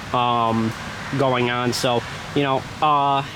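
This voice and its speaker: With an American accent, a man speaks in fairly even intonation amid noticeable background noise. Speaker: demolition derby vlogger. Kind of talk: casual vlog monologue. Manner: monotone; rambling with many fillers.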